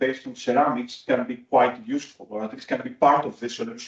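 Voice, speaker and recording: A man speaks with a non-native accent. His pitch swings very widely. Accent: non-native accent, noted by self. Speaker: materials researcher. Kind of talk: conference talk. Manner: hesitant, many fillers.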